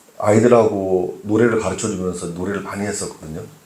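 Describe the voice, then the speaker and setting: A man's voice carries audible room echo. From Seoul, childhood in Gangwon (Taebaek) until age 9. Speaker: pastor. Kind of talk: sermon. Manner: hesitant with frequent fillers.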